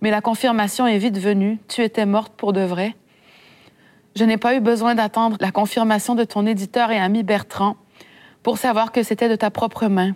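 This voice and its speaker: At a moderate pace, a woman with a fairly high pitch talks in a monotone, flat intonation with very even loudness and long, frequent pauses, in a very clean recording with a silent background. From Quebec, Saguenay. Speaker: author. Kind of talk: reading aloud. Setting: library event with audience.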